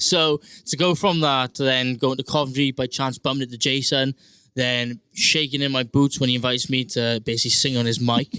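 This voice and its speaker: In a South Wales accent, a man speaks with a bright, sharp tone and fairly even intonation, the sound dry and close with no echo on a very clean recording with a silent background. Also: medium pitch for a man, fairly quick pace. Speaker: singer-songwriter and rugby player. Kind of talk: casual interview chat. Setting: recording studio. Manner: hesitant, many fillers.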